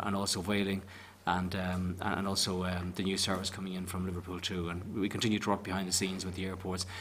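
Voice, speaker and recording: This man's pitch is very deep and low. He talks at a very fast pace with a Northern Irish accent. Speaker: tourism agency official. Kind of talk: committee evidence session.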